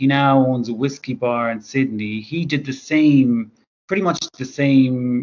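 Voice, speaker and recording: A man with an Irish accent speaks at a fairly slow pace. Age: 30s. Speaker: author. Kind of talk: interview.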